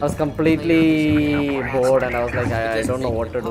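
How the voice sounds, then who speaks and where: At a fairly quick pace, a man talks with a South Indian accent and ordinary pitch variation. Noticeable background noise and audible room echo fill the recording. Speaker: gaming streamer. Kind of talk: casual chat. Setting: live stream. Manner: halting.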